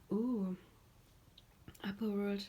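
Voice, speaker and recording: A woman speaks with a German accent. Her intonation is fairly even. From Germany. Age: 30s. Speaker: tarot reader. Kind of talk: tarot reading. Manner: halting.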